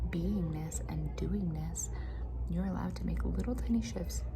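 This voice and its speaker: Soft-spoken woman with a very deep, low pitch and monotone, flat intonation, at a moderate pace amid noticeable background noise. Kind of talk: casual talk to camera, motivational chat. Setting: cafeteria / office with muffled background noise.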